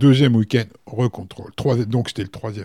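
This man has a dark, mellow tone and sounds somewhat breathy. His pitch varies in an ordinary way. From France, Berry (Indre). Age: 50s. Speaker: hotel director. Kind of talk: casual interview. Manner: hesitant, many fillers.

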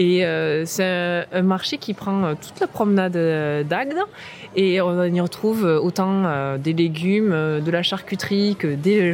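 A woman's medium-pitched voice at a very slow pace, with ordinary pitch variation and noticeable background noise. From southwest France, Comminges near Toulouse. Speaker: local guide. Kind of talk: guided walking tour.

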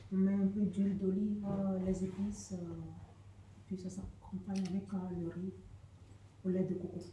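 Over noticeable background noise and audible room echo, a woman at a medium pitch speaks at a fairly slow pace in a monotone, flat intonation, with long, frequent pauses. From Togo. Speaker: homeless person. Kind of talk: recipe explanation. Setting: community radio studio.

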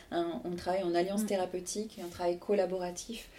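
A woman's medium-pitched, monotone, flat delivery at a moderate pace, with noticeable background noise. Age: 40s. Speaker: association president and co-founder. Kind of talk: interview. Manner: hesitant, many fillers.

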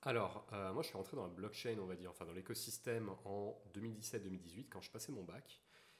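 A man talks in a normal speaking voice, fairly low in pitch with ordinary pitch variation, at a moderate pace with hardly any pauses. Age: 20s. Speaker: engineering student and blockchain entrepreneur. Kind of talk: casual interview chat.

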